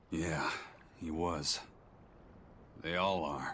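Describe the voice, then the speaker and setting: Over clear background noise, a man puts on a raspy character voice with a very deep, low pitch. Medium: video game. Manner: terse, dry.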